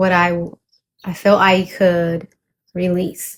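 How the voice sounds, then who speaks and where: Slightly breathy, a woman's voice sits at a medium pitch. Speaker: poet and vlogger. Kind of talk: casual vlog chat with poetry reading.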